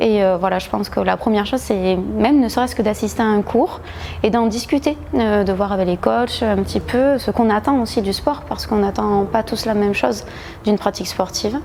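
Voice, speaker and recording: A woman with a southwestern French accent speaks at a fairly quick pace and medium pitch, with ordinary pitch variation and very even loudness, over noticeable background noise. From southwest France, Agen. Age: 30s. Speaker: gym member, lawyer. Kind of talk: testimonial interview. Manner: hesitant, many fillers.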